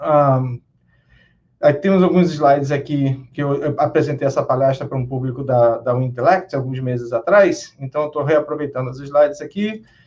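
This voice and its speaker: A man speaks in a Rio de Janeiro accent at a moderate pace. His voice is fairly high and somewhat breathy. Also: ordinary pitch variation. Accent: Carioca Brazilian Portuguese. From Brazil, Rio de Janeiro. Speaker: database consultant and conference speaker. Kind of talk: technical conference talk. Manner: hesitant with fillers.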